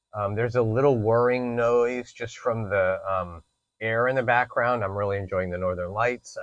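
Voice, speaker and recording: This man's voice is fairly low. He speaks at a fairly quick pace. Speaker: spine surgeon. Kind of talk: casual vlog-style explainer. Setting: inside a hyperbaric chamber. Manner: loud.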